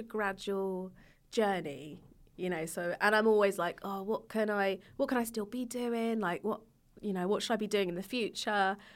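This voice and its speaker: A woman speaks in an English accent at a fairly high pitch. The recording is very clean, with a silent background. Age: 30s. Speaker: YouTuber. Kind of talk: casual chat.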